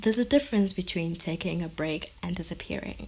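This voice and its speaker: A woman's fairly low voice with vocal fry and lively intonation. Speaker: podcast host. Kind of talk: personal monologue. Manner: halting; shaky voice.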